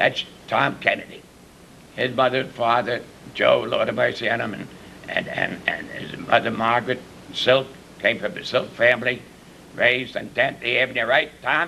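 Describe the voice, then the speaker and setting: A man speaks in an American accent at a moderate pace, leaving long, frequent pauses. Noticeable background noise sits behind him. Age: 70s. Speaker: former village mayor. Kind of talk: panel discussion. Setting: village hall. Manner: halting.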